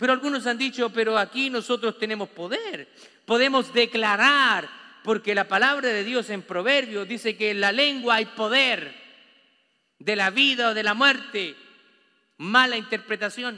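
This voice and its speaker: A man's extremely high pitch, bright and sharp in tone, raised and projected, with ordinary pitch variation at a fairly slow pace. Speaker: pastor. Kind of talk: sermon. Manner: animated.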